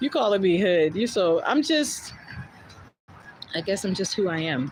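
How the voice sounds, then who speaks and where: A woman's pitch swings very widely as she talks in an American accent. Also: medium pitch for a woman. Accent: New Jersey accent, thick when passionate. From North New Jersey (South Orange, Maplewood, Montclair). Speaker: podcast host, storyteller. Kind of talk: casual live stream chat. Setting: live stream. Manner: fast when passionate; animated.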